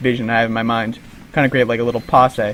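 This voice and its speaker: Over noticeable background noise, a man of medium pitch talks at a very fast pace. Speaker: gaming commentator. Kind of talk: live gameplay commentary. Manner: rambling, many filler words.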